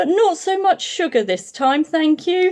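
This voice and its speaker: An extremely high, squeaky put-on character voice at a moderate pace. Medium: read story. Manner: warm, polite.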